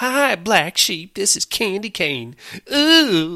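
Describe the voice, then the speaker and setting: A put-on character voice at a middle pitch, with very wide pitch swings and a very slow pace. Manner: flirty, teasing.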